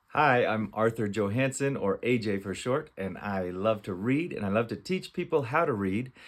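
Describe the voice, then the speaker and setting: On a very clean recording with a silent background, a man with an American accent uses an ordinary speaking voice at a medium pitch, with lively intonation and hardly any pauses. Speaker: reading teacher. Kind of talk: children's phonics tutorial with read-aloud. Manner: slow, sounding out letters.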